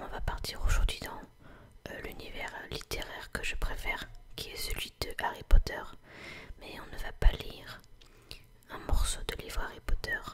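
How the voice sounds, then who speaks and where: Someone is whispering at a fairly slow pace. Noticeable background noise can be heard. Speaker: ASMR content creator. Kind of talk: whispered ASMR reading of a fairy tale. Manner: whispered.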